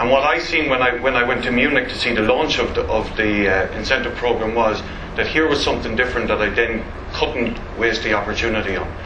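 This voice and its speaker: A man with an Irish accent speaks fairly quickly at a medium pitch with ordinary pitch variation. Audible room echo and noticeable background noise surround him. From Ireland. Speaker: network marketing distributor. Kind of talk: motivational talk. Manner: fast; enthusiastic.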